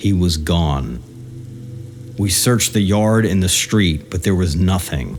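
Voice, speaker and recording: Over music in the background, a man talks at a very slow pace in a very deep, low voice with ordinary pitch variation. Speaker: horror story narrator. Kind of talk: horror story narration.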